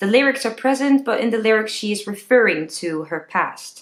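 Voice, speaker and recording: A woman with a Dutch accent, fairly high in pitch, lively in intonation, at a moderate pace. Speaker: singing teacher. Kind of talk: tutorial.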